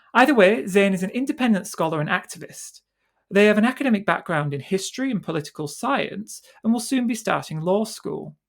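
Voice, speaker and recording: This woman speaks at a fairly quick pace with a medium pitch. Her voice is somewhat breathy. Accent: British. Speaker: podcast host. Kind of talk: podcast interview.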